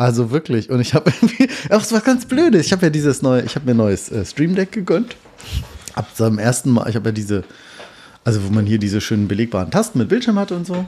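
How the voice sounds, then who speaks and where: Over noticeable background noise, a man talks at a very fast pace. His pitch swings very widely. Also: medium pitch for a man. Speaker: podcast host. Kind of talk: casual chat. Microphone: poor audio quality.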